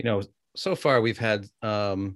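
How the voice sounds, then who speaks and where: A man speaks at a moderate pace with fairly even intonation and a fairly low pitch. He has a plain, everyday voice. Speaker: podcast co-host. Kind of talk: casual interview chat.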